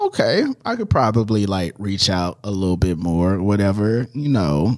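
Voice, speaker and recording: A man with a normal speaking voice talks at a moderate pace, his fairly low pitch carried by lively intonation. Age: 30s. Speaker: podcast host. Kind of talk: casual chat. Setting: studio.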